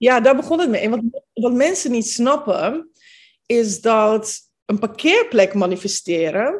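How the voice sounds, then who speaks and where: A woman's fairly high voice at a very slow pace, with lively intonation over a quiet background. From Netherlands, Capelle aan de IJssel (from Bosnia at 10). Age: 30s. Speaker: manifestation coach. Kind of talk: interview.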